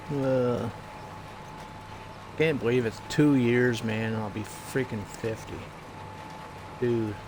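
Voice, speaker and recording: Speaking very slowly with long, frequent pauses, a man keeps a fairly even intonation over noticeable background noise and audible room echo. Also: medium pitch for a man. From Atlantic Canada (New Brunswick). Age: 40s. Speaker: gaming streamer. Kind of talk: casual chat. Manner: casual, halting with fillers.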